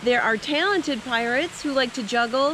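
Over noticeable background noise, a woman talks fairly quickly in a high pitch with ordinary pitch variation, and the sound is dry with no echo. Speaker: travel vlogger. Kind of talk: casual vlog chat. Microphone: phone near.

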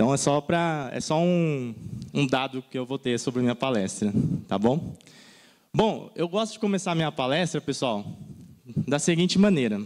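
A man at a fairly high pitch and moderate pace, with long, frequent pauses and a quiet background. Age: 30s. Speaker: design content creator. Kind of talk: conference talk. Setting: stage with audience. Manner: animated. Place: stage. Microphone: handheld.

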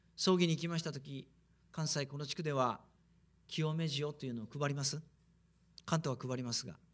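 Pitched fairly high, a man speaks at a fairly quick pace. His pitch moves with ordinary variation. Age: 50s. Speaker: preacher. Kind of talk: sermon. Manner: animated. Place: hall. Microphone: podium.

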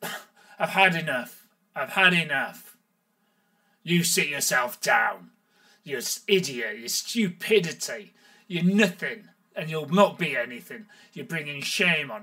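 In a put-on character voice, raised and projected, the speaker talks at a fairly slow pace with a raspy sound, big swings in loudness, and long, frequent pauses. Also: man, high pitch for a man. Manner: raised voice, harsh, scolding.

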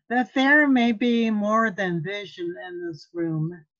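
A woman speaks in a solemn tone with ordinary pitch variation. The background is quiet. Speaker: lay minister, author. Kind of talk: poetry reading at a church service. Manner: slow, solemn. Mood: calm, solemn, earnest. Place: home room. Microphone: webcam.

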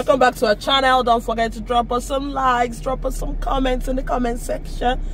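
Over noticeable background noise, a woman speaks at a fairly quick pace in a dry sound with no echo. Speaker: family vlogger. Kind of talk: casual vlog chat. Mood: cheerful, playful. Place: car. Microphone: phone near.

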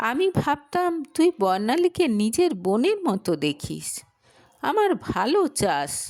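Speaking slowly in a put-on character voice, a woman uses a high pitch with big swings up and down. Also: slightly mellow tone.

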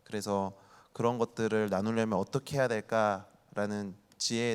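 A man's unremarkable speaking voice, medium in pitch, at a moderate pace, in a very clean recording with a silent background. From Ansan, South Korea. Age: 30s. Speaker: youth volunteer group leader. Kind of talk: talk show panel. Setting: stage with audience.

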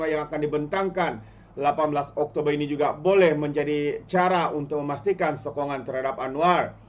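A man with a Malaysian accent speaks at a moderate pace with fairly even intonation. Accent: Malaysian Malay. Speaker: political commentator. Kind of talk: opinionated news commentary. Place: home room.

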